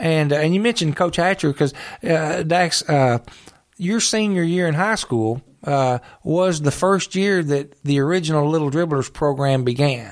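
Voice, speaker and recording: A man with an unremarkable speaking voice, fairly high in pitch, at a moderate pace, with ordinary pitch variation and very even loudness. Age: 50s. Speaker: retired judge and park superintendent. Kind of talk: casual interview.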